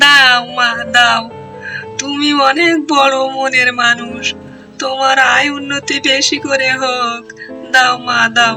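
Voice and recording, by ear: Putting on a character voice, a woman speaks slowly at a high pitch with a bright, sharp tone and little pitch movement, while faint music plays in the background.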